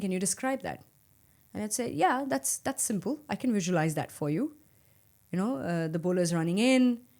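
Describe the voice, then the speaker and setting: A woman with a dark, mellow tone speaks at a medium pitch with lively intonation in a very clean recording with a silent background. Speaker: cricket commentator and former national captain. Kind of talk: interview. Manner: calm, subtle on mic.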